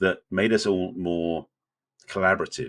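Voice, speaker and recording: In a very clean recording over a silent background, a man talks with an English accent. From England. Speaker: relationship coach and podcast co-host. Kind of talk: casual podcast conversation.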